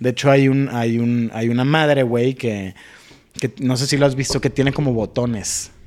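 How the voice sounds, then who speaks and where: A man with a plain, everyday voice speaks at a medium pitch and moderate pace with fairly even intonation. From Sonora, Mexico (San Carlos). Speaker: mental health talk show host and musician. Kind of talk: casual chat.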